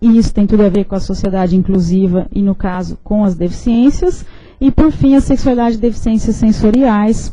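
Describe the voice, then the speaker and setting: A woman's medium-pitched, somewhat breathy voice with a dark, mellow tone, moderate pace, ordinary pitch variation and audible room echo. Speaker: professor. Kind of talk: lecture. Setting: lecture hall with audience, streamed online.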